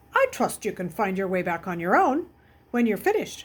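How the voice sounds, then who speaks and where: A woman puts on a character voice at a medium pitch with lively intonation. She talks at a fairly quick pace. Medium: read story. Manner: curt, stern.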